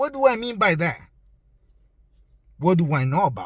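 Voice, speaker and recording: A man speaks in an animated, somewhat breathy tone. His pitch swings very widely. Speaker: political commentator. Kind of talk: opinion monologue.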